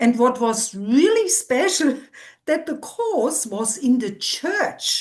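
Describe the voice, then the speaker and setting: At a very slow pace, a woman speaks at a high pitch. Her pitch swings very widely. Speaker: physiotherapist and therapy instructor. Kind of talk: interview. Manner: animated.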